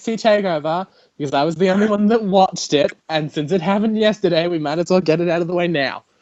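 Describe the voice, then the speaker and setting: Talking at a very fast pace, a man with an Australian accent has a high pitch and ordinary pitch variation. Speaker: podcast host. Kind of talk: casual chat. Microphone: audio delay and echo.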